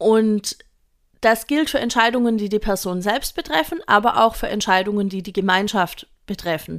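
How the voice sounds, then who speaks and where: A woman has a normal speaking voice, fairly high in pitch with ordinary pitch variation. She speaks at a moderate pace in a very clean recording with a silent background. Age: 30s. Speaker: early childhood educator and podcast host. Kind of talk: solo educational podcast talk. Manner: casual, conversational.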